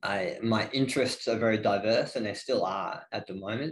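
The speaker is a man with a fairly low pitch. He talks in an Australian accent. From Northeast Victoria, Australia. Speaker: gym head coach. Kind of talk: casual interview.

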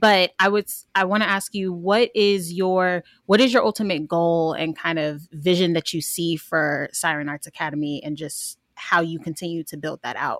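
Delivered at a moderate pace with hardly any pauses, an unremarkable speaking voice shows ordinary pitch variation and big swings in loudness in a dry, close sound with no echo. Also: woman, fairly low pitch for a woman. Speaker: podcast co-host. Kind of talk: casual interview.

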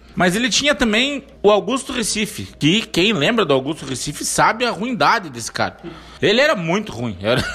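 A man's high-pitched, raised and projected voice at a moderate pace, with very wide pitch swings and noticeable background noise. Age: 30s. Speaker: podcast host and debate moderator. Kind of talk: casual debate chat.

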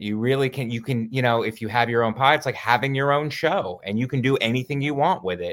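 This is an unremarkable speaking voice from a man at medium pitch. His pitch variation is ordinary, and the recording is very clean with a silent background. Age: 40s. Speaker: stand-up comedian. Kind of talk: casual chat.

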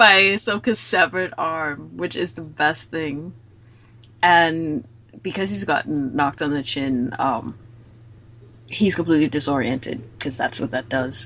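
A woman's very deep, low voice with a bright, sharp tone and lively intonation. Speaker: podcast host discussing anime. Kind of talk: casual chat about anime episode. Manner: more emotional than the others.

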